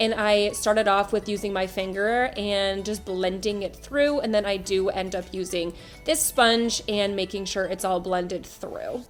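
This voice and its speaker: A woman talks at a fairly slow pace with medium pitch. Music plays in the background. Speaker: beauty vlogger. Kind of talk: makeup tutorial voiceover. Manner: casual, chatty.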